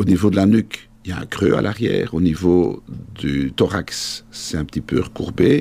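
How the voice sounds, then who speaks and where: A man's very deep, low voice, fairly slow, with lively intonation. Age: 50s. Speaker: orthopedic surgeon. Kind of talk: interview.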